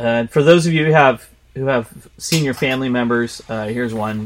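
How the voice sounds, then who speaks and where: A man speaks in an unremarkable speaking voice at medium pitch, with ordinary pitch variation and a moderate pace. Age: 50s. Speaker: fitness podcast co-host. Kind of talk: casual chat.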